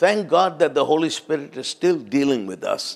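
The speaker talks at a moderate pace with vocal fry. The background is quiet. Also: man. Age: 70s. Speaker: visiting preacher. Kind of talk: sermon. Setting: church. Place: church. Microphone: handheld.

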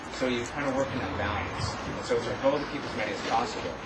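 A man talks at a very fast pace with ordinary pitch variation. Loud background noise runs under his voice. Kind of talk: answer at community meeting. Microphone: camera far.

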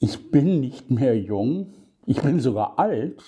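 A man with vocal fry at a very slow pace, his pitch swinging very widely, over a quiet background. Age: 70s. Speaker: podcaster. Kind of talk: casual monologue. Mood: critical, somewhat sarcastic. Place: home room. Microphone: phone near.

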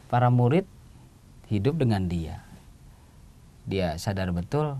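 At a moderate pace, a man with a dark, mellow tone lets his pitch swing very widely. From South Sumatra, Indonesia. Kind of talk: homily and reflection in a TV talk. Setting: studio. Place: studio. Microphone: lapel.

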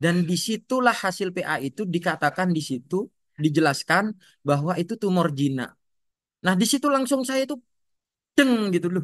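A man's high-pitched voice with very wide pitch swings, a moderate pace and long, frequent pauses, dry with no echo against a quiet background. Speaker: schoolteacher sharing patient family story. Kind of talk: testimony. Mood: emotional, recounting hardship. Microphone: video call.

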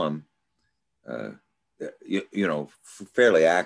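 Quiet background behind a man's voice. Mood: thoughtful, musing. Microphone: video call.

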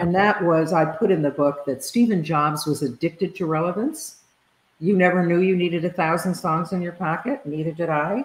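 A woman with an American accent and a fairly low pitch speaks at a moderate pace with ordinary pitch variation, and audible room echo surrounds her voice. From US. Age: 70s. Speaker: leadership consultant and author; guest. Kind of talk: interview conversation. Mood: relaxed, warm. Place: home room.

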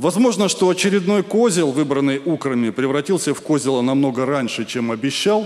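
Swinging very widely in pitch, a man keeps a moderate pace. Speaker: stand-up comedian. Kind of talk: satirical stand-up monologue. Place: stage. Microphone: handheld.

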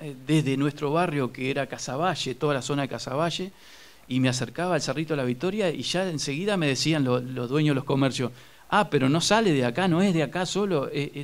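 This man has a fairly high pitch and ordinary pitch variation. He talks at a fairly quick pace. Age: 50s. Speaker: journalist and local magazine publisher. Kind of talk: studio interview. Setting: studio. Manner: halting, many fillers and repetitions.

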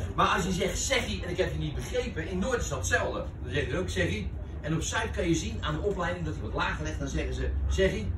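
Very fast speech over noticeable background noise. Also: man. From Rotterdam Zuid, Netherlands. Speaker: entertainer telling stories. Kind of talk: casual chat, storytelling. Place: cafe. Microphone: camera far.

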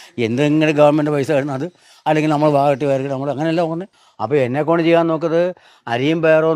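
A normal speaking voice with ordinary pitch variation comes through against a quiet background. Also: man. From Kerala, Kollam district. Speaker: retired health department employee, charity donor. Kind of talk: interview.

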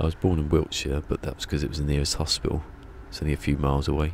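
With a Berkshire accent, a man speaks very fast in a very deep, low voice over light background noise, the sound dry with no echo. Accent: Berkshire accent, between Bristol and London. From southern England, Berkshire; southern England. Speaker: video game live streamer. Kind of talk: casual live stream chat. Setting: live stream. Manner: chill and relaxing. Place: home room. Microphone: studio mic.

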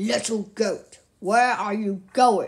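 A put-on character voice with a fairly high pitch. It has a growling quality. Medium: read story. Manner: menacing, questioning.

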